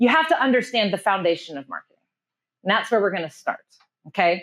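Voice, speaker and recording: A woman with very wide pitch swings, against a quiet background. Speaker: marketing strategist and workshop presenter. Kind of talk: live workshop presentation. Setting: room with live audience. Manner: fast; high energy, informal.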